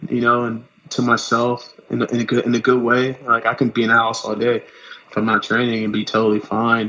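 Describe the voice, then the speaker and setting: A man with an American accent speaks in a medium pitch with a bright, sharp tone and monotone, flat intonation. His pace is fairly quick, with hardly any pauses. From Los Angeles, California. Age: 30s. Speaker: runner. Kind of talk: casual chat.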